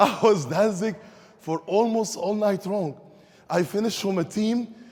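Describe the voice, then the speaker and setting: Noticeable background noise accompanies this voice, which moves at a moderate pace. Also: man. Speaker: network marketing speaker. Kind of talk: motivational speech to a live audience.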